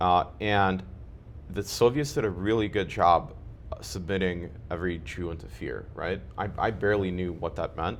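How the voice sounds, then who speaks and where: A man speaks at a moderate pace in a very deep, low voice with vocal fry. His intonation is lively. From Ukraine (Kharkiv), raised partly in US. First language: Russian. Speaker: community member interviewed about his life. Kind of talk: interview.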